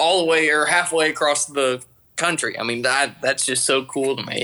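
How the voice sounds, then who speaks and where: The voice has a Georgia accent and a bright, sharp tone. Its intonation is fairly even. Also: man. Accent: Southern US, Georgia twang. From Georgia, US South. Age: 20s. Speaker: pilot, aviation mechanic. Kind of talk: casual podcast interview.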